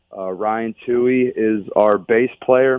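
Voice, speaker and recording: Here a man speaks with an American accent at a medium pitch. His intonation stays fairly even. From Pittsburgh, Pennsylvania. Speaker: country singer. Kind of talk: radio interview. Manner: halting.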